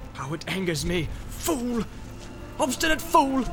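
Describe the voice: Putting on a character voice, a man speaks at a fairly slow pace with extremely high pitch, big pitch swings and vocal fry, while clear music plays in the background.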